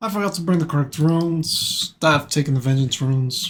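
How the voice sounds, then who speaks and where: A man speaks in a somewhat breathy voice. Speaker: gaming video creator. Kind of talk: gameplay commentary. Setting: at home, father asleep next door. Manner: quiet, keeping voice down.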